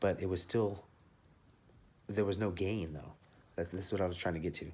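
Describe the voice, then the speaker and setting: A man speaks with a very deep, low pitch and a dark, mellow tone that is somewhat breathy. His delivery is fairly quick, in a monotone, flat intonation. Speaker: car audio enthusiast. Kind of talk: tutorial. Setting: office. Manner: fast.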